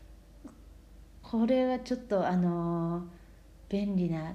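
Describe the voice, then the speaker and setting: Over audible room echo, a woman speaks in a somewhat breathy voice with a dark, mellow tone. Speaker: Japanese language teacher. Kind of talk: lesson for learners. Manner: slow, clear speech.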